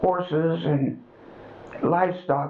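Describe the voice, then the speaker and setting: A woman with an American accent at a fairly slow pace, amid noticeable background noise. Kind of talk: oral history interview answer.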